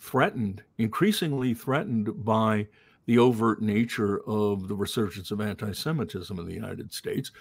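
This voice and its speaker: Speaking with an American accent, a man keeps a medium pitch and ordinary pitch variation at a moderate pace. His loudness swings widely. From Long Island, New York. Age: 60s. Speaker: television news producer. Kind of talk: podcast interview.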